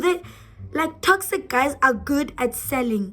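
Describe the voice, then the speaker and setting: Her high-pitched voice moves at a moderate pace, this woman's pitch swinging very widely. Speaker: YouTuber. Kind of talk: casual vlog talk to camera. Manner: animated.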